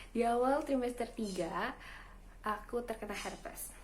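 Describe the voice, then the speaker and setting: This woman's voice sits high in pitch. Its pitch moves with ordinary variation. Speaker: new mother. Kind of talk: casual talk to camera.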